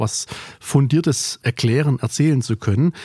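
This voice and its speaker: In a very clean recording with a silent background, a man talks at a fairly slow pace in a somewhat breathy voice with a dark, mellow tone and ordinary pitch variation, the sound dry and close with no echo. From Remstal near Stuttgart, Swabia. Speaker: trade magazine editor-in-chief. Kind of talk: casual chat. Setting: warehouse.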